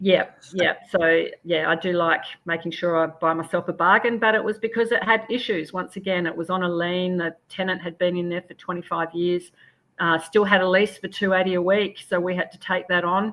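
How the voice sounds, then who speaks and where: A woman talks at a fairly quick pace. Her pitch is medium and her intonation fairly even. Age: 60s. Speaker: property renovator and investor. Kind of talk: interview.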